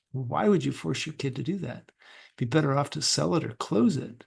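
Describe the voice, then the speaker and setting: A man's fairly high voice with vocal fry and lively intonation, at a moderate pace against a quiet background. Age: 60s. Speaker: career transition coach. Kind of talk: casual interview conversation.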